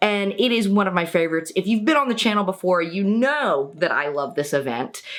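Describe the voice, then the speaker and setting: A woman's medium-pitched, animated voice with an American accent at a moderate pace. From US South, New Orleans, Louisiana. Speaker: YouTuber. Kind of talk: casual vlog talk.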